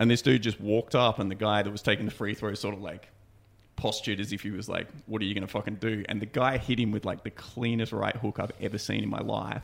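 Speaking very fast in an Australian accent, a man keeps a monotone, flat intonation at a fairly low pitch. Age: 30s. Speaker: podcast co-host. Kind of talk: casual chat. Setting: studio.

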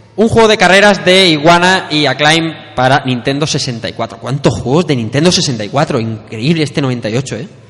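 A man's fairly high, lively voice at a fairly slow pace with hardly any pauses, over music in the background. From Spain, Elche (Valencian Community). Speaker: podcast host. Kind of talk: live panel discussion before an audience. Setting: live event at a school with audience.

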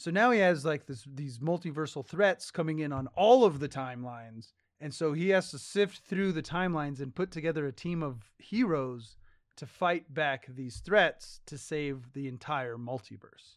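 A man's fairly high voice at a moderate pace, with big swings in loudness, in a very clean recording over a silent background. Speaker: podcast host. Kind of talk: casual podcast chat. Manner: animated, profane.

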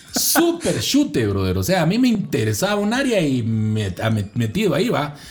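Amid noticeable background noise and audible room echo, a man with a fairly high pitch sounds animated, his pitch swinging very widely at a moderate pace. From Guatemala, Guatemala City. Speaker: voice-over announcer and communicator. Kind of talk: casual interview and testimony.

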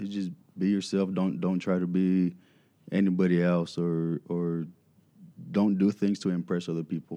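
A man speaks at a moderate pace in a very deep, low voice with a dark, mellow tone. His intonation is fairly even, with long, frequent pauses. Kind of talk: radio interview. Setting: radio studio.

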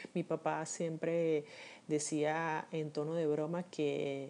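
A woman speaks with a very deep, low pitch and a dark, mellow tone, her intonation monotone and flat. The background is quiet. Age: 50s. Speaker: podcaster. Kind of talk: personal monologue. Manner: reflective, with frequent hesitations.

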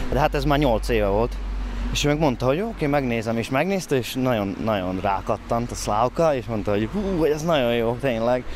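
With lively intonation and a medium pitch, a man talks at a fairly quick pace against noticeable background noise. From southern Slovakia (Hungarian minority, Szőgyén). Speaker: stage actor and director. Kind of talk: casual chat. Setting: outdoors.

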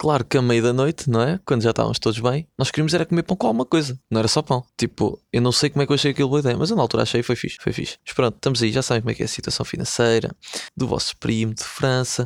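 Speaking at a very fast pace with hardly any pauses, a man with a European Portuguese accent uses ordinary pitch variation. The sound is dry and close with no echo, in a very clean recording with a silent background. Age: 20s. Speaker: podcaster. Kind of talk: casual chat. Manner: animated.

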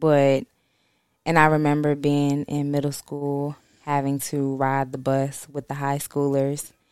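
A woman with a very deep, low pitch speaks at a fairly slow pace in a monotone, flat intonation. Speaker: guest sharing story. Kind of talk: casual chat.

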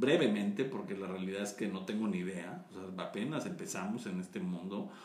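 With audible room echo, a man speaks with very wide pitch swings. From Mexico. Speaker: maize and tortilla advocate. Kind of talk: interview.

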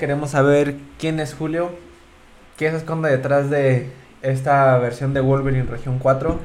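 Over noticeable background noise and with audible room echo, a man speaks at a moderate pace in a fairly high pitch with fairly even intonation. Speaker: podcast co-host. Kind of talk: casual chat.

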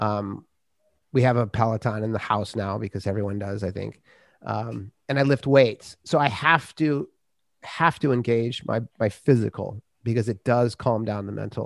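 A man with a plain, everyday voice and an American accent talks at a moderate pace and medium pitch, with ordinary pitch variation, recorded dry and close with no echo. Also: very clean recording, silent background. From US Midwest, Minnesota. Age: 50s. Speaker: author and podcaster. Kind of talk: casual chat.

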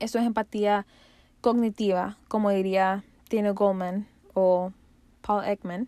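In a very clean recording with a silent background and a dry, close sound with no echo, a woman with a dark, mellow tone and medium pitch speaks at a very slow pace in a flat monotone, with long, frequent pauses. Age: 20s. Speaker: podcast host. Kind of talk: solo podcast monologue. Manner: casual.

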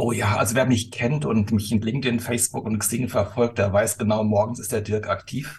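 Somewhat breathy, a man speaks at medium pitch and a moderate pace. His intonation is fairly even, with hardly any pauses. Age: 50s. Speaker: company executive. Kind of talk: casual chat. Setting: video call.

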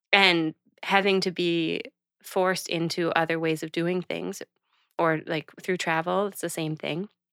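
In a very clean, dry, close recording with no echo and a silent background, a woman with a fairly low pitch speaks at a fairly slow pace in a flat monotone. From Canada, Prince Edward Island (Charlottetown). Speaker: podcast co-host. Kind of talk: casual chat.

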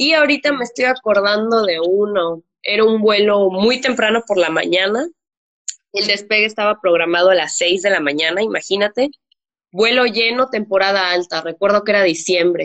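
A woman talks in a normal speaking voice at medium pitch. Her pitch varies in an ordinary way. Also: moderate pace. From Mexico. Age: 20s. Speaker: flight attendant. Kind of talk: interview.

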